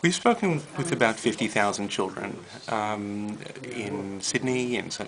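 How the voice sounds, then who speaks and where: A man with a fairly low voice talks using ordinary pitch movement while noticeable noise runs in the background. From New York, Brooklyn. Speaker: rabbi, interfaith educator. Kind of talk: interview. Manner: halting, many fillers.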